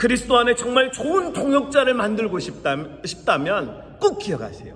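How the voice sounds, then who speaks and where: Amid noticeable background noise and audible room echo, a man speaks at an extremely high pitch with very wide pitch swings. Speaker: pastor. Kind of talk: sermon.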